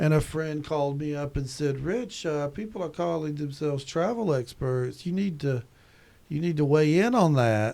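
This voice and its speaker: The voice has a Southern US accent and a dark, mellow tone. Its pitch variation is ordinary. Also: man. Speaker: tourism professor. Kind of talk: podcast interview. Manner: halting, frequent repetitions.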